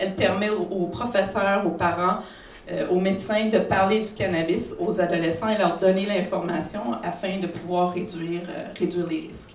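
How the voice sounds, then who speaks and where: Over noticeable background noise and audible room echo, the speech runs at a moderate pace with monotone, flat intonation. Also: woman, medium pitch for a woman. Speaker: psychiatrist. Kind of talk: conference talk.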